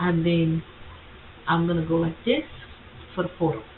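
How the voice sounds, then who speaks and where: A woman with a non-native accent speaks over noticeable background noise. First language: not English. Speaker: content creator tutorial host. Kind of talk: screen-share tutorial. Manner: casual, halting with self-corrections.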